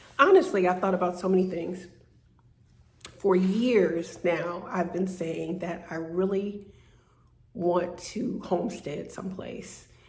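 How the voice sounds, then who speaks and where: With audible room echo, the speaker goes at a very slow pace with fairly even intonation and long, frequent pauses. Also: woman, medium pitch for a woman. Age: 60s. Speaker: vlogger. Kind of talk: personal vlog monologue. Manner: halting, many fillers and repeats.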